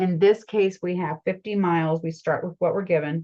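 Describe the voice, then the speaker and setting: A woman talks at a moderate pace in a fairly low pitch. Her intonation stays fairly even in a normal speaking voice. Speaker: math teacher. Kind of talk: lecture.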